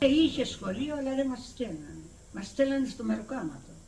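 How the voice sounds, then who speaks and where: In a room with audible echo, a woman speaks at a fairly slow pace. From Crete, Greece. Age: 80s+. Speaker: retired villager. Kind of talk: oral history interview. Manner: halting.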